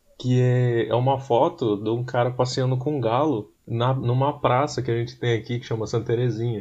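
Monotone and flat, a man's somewhat breathy, medium-pitched voice runs at a moderate pace with hardly any pauses. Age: 20s. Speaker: podcast co-host. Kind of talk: casual chat.

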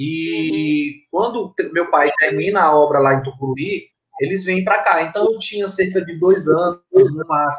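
A man's high voice carries his words at a fairly slow pace. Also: ordinary pitch variation. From Maranhão, Brazil (Tuntum, then São Luís). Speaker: graffiti artist and architect. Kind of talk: interview. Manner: halting, repeats words. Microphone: connection problems at start.

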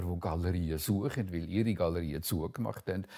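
The recording is very clean, with a silent background. A man with a Zug accent speaks with ordinary pitch variation. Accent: Swiss German (Zug). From Switzerland, canton Zug. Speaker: painter. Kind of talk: interview, life story. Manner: halting, many hesitations.

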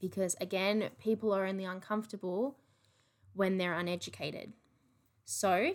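Australian-accented speech from a woman, pitched in the medium range. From Australia, regional NSW/Victoria border. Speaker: podcast host. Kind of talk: casual monologue. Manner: animated.

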